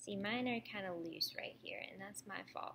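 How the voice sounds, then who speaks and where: A woman speaks at a moderate pace with vocal fry. Her pitch is medium, with ordinary variation. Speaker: librarian. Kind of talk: tutorial.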